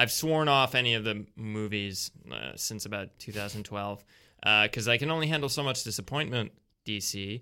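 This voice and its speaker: In a very clean recording with a silent background, a man with a Canadian accent talks at a moderate pace, his fairly low pitch showing ordinary variation and a bright, sharp tone. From Canada. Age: 20s. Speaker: improv and sketch comedian. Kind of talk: casual chat. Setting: studio.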